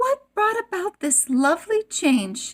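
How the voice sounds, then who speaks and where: A woman speaks in a put-on character voice, squeaky and extremely high-pitched, with very wide swings in pitch. She talks at a fairly slow pace, and the sound is dry and close with no echo. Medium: read story.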